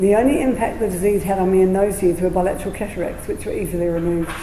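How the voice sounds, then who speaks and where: A woman with a New Zealand accent and medium pitch talks fairly quickly, with noticeable background noise and audible room echo. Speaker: patient speaker with lived experience, registered nurse. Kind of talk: prepared talk read aloud. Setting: community centre presentation with audience. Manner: slightly slurred speech.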